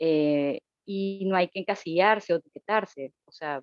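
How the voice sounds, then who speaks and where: A woman speaks in a plain, everyday voice. Her pitch is medium and varies in an ordinary way. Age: 30s. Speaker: guest sharing her sobriety experience. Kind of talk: casual conversation, personal testimony.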